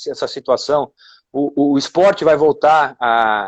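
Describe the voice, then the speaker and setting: An unremarkable speaking voice, this man talks at a moderate pace with a fairly high pitch and ordinary pitch variation. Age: 40s. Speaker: former footballer. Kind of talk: casual chat.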